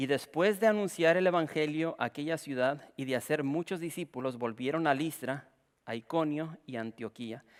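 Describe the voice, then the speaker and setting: An unremarkable speaking voice with ordinary pitch variation, moderate in speed, in a very clean recording against a silent background. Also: man. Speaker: pastor. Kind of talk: sermon.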